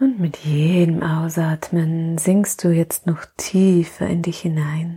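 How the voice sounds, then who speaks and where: Speaking at a very slow pace with hardly any pauses, a woman uses a somewhat breathy, fairly low voice with a dark, mellow, soothing tone. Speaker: podcast host and mothers' coach. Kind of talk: guided meditation; welcome and intro, then guided meditation. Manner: slow, soft and soothing, with long pauses; calm, gentle, warm.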